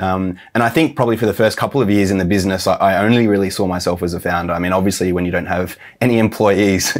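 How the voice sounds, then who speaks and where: A man at a very fast pace with hardly any pauses, fairly low in pitch with ordinary pitch variation, over a quiet background. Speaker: interviewee. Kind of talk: interview answer. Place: office. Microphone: lapel.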